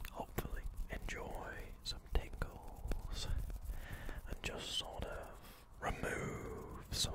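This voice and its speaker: Very slowly, a man speaks in a whisper. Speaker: ASMR creator. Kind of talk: ASMR positive affirmations for relaxation and sleep. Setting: close microphone, cupped whispers. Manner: whispered, soft-spoken, slow. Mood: calm, reassuring. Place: home room. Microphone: studio mic.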